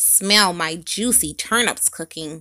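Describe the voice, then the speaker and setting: A woman uses a put-on character voice, pitched fairly low, at a fairly slow pace. The recording is very clean with a silent background. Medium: read story. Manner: defiant, cheeky.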